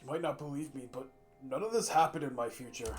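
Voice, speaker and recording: A man speaks at a very fast pace. His raspy voice sits fairly high in pitch. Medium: game stream. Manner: casual, conversational.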